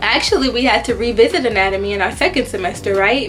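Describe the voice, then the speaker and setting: Music plays in the background as a woman talks at a fairly quick pace and a fairly high pitch. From Houston, Texas. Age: 20s. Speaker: medical student. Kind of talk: casual talk to camera.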